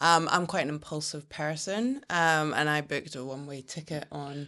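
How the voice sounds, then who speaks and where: A woman with a Scottish accent, very deep and low in pitch, with big swings in loudness, ordinary pitch variation and a quiet background. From Scotland. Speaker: brand strategist. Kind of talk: podcast interview.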